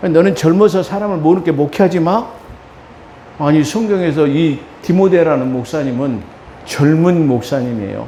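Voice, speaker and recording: A man at a moderate pace with a fairly high pitch and lively intonation, long and frequent pauses, noticeable background noise and audible room echo. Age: 60s. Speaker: pastor. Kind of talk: sermon.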